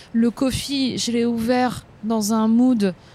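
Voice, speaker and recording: A woman with a fairly high pitch speaks in fairly even intonation amid noticeable background noise. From northern France. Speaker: content creator and café co-founder. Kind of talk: casual interview. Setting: outdoors in a small street.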